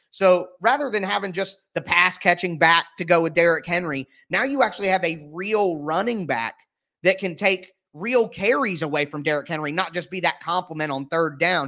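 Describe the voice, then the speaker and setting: A man with an American accent speaks at a moderate pace in a high-pitched, bright, sharp tone with lively intonation. The recording is very clean, with a silent background. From Ohio, US. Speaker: sports podcast host and writer. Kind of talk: casual sports analysis chat.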